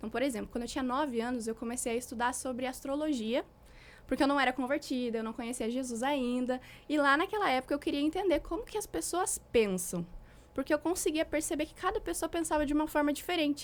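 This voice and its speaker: Very fast, high-pitched speech from a woman with lively intonation. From southern Brazil, Rio Grande do Sul (Santa Cruz do Sul). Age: 20s. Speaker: relationship mentor, former astrologer. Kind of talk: podcast interview, personal testimony.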